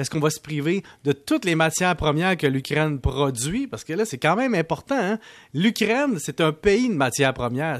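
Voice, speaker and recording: Man with a Quebec accent, fairly high pitch, very wide pitch swings and a fairly quick pace, over a quiet background. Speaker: economics columnist. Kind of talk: radio commentary segment.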